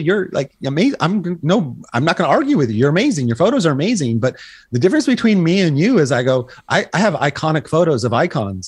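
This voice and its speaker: A man talks at a very fast pace with lively intonation, an animated tone and a somewhat breathy quality against a quiet background. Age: 60s. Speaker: photographer. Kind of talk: casual chat.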